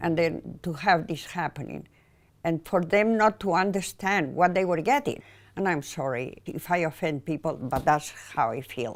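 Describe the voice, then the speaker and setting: The speaker talks with a Spanish accent at a moderate pace. The intonation is lively. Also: woman, fairly low pitch for a woman. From Spain, Mallorca. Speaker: painter. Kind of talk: personal interview monologue.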